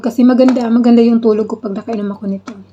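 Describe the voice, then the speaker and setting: With noticeable background noise behind her, a woman speaks in a fairly high pitch with monotone, flat intonation. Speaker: vlogger. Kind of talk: casual vlog. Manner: halting.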